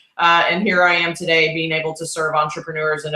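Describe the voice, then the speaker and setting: A woman's very deep, low voice with a bright, sharp tone and a slight Texas accent. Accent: Texas drawl, slight. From Texas, Houston. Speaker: brand strategist, author. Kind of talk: interview.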